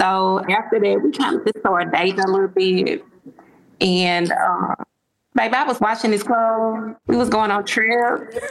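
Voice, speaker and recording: At a moderate pace and very even loudness, a woman speaks in an unremarkable speaking voice, fairly high in pitch with ordinary pitch variation. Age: 40s. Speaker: caller seeking dating advice. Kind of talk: casual chat.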